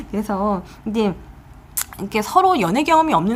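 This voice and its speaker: Amid noticeable background noise, a woman speaks very fast with lively intonation. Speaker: tarot reader. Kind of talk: tarot reading video monologue. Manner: casual, conversational.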